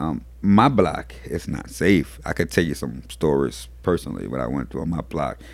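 The speech moves at a moderate pace with hardly any pauses, vocal fry and ordinary pitch variation. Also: man, very deep, low pitch for a man. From New Orleans. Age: 40s. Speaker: community organizer and activist. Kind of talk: casual interview. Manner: repetitive, halting starts.

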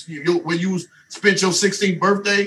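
Amid noticeable background noise, a man with an American accent speaks in a raised, projected voice at a high pitch, with ordinary pitch variation. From US South. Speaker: mentor and relationship speaker. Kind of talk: casual podcast chat.

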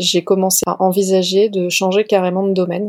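A woman's medium-pitched, dark, mellow voice at a moderate pace, with a dry, close sound and no echo. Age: 30s. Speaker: love coach. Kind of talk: interview. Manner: hesitant, many fillers and repetitions.

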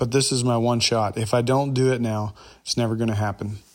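Recorded very cleanly against a silent background, a plain, everyday voice with an American accent speaks with fairly even intonation. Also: man. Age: 30s. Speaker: podcast host. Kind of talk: personal storytelling monologue.

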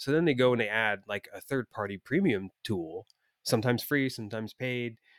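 With an ordinary speaking voice, a man talks at a fairly quick pace and medium pitch, showing ordinary pitch variation in a dry, close sound with no echo. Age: 40s. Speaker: podcast co-host, web developer. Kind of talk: casual chat. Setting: remote call.

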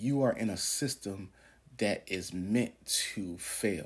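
Over a silent background in a very clean recording, a man talks at a fairly low pitch with ordinary pitch variation. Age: 40s. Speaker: podcast preacher. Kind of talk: sermon-style monologue. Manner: animated.

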